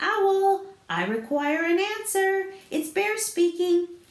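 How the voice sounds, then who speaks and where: A woman speaks loudly in a squeaky, put-on character voice at an extremely high pitch. Her pace is fairly slow. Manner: very loud, calling out.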